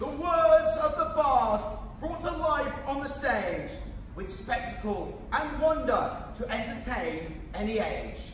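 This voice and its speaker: The speech moves at a very slow pace. Audible room echo and light background noise surround it. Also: man. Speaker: town crier. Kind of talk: town crier proclamation in rhyming verse. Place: stage.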